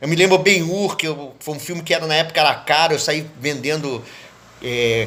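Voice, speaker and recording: There is noticeable background noise as a man speaks at a fairly high pitch. His pitch variation is ordinary and his pace is moderate. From Brazil, Rio de Janeiro (Leopoldina suburbs). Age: 70s. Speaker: poet and cultural activist. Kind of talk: interview monologue, reminiscing.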